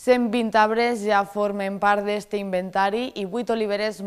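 Against a quiet background, the speaker talks at a fairly slow pace with monotone, flat intonation. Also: woman. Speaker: news anchor. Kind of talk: news reading. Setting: studio. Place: studio.

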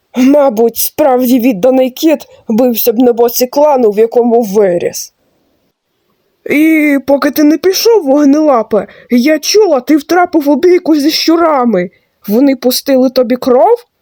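The put-on character voice is high-pitched and moves at a moderate pace. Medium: machinima. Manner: gruff, dry.

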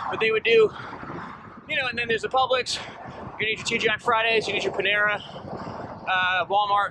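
Amid noticeable background noise, a man with a high pitch speaks with fairly even intonation, the sound dry with no echo. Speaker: cyclist vlogger. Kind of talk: casual vlog chat. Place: bicycle. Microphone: phone near.

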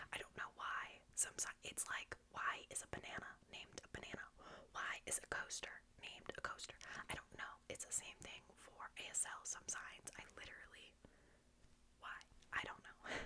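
Whispering at a moderate pace, a woman speaks with an American accent. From United States. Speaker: ASMR creator. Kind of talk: ASMR close-whisper tutorial. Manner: whispered, soft-spoken. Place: home room. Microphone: studio mic.

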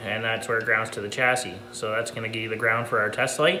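Light noise sits in the background. A man's voice is heard over it. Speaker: hobby tractor restorer. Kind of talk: tutorial. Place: garage. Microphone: phone near.

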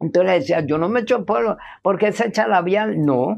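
Lively intonation runs through this woman's speech, which carries vocal fry. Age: 70s. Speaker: interviewee sharing life story; interviewee. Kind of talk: testimony. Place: garden.

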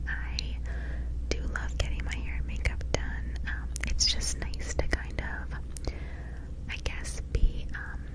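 Noticeable background noise runs behind a woman who speaks at a very slow pace. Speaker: ASMR creator. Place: home room. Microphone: studio mic.

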